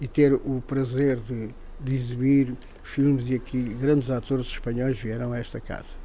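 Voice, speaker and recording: Speaking at a medium tempo, a man has a dark, mellow tone. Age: 70s. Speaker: retired film projectionist. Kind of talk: interview. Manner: halting.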